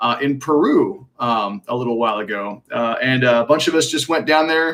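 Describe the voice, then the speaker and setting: This man's tone is animated. His pitch varies in an ordinary way. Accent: slight Texan. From Texas (Magnolia). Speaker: alternative medicine practitioner. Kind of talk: live Q&A stream. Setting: live stream. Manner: casual, animated.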